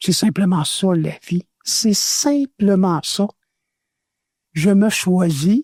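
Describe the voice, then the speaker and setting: A man with a Quebec accent and a high voice speaks at a very slow pace with long, frequent pauses, ordinary pitch variation and very even loudness. The sound is dry and close, with no echo. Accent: Québécois French. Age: 70s. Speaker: former radio host. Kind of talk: interview testimony.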